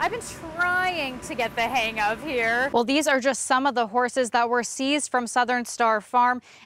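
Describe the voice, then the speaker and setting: A woman talks at a high pitch and a moderate pace with ordinary pitch variation. There is noticeable background noise. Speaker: TV news reporter. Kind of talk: TV news field report.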